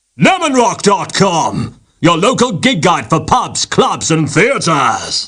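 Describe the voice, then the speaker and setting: At a fairly slow pace and with hardly any pauses, a man uses a put-on character voice pitched high. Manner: over-the-top, showy.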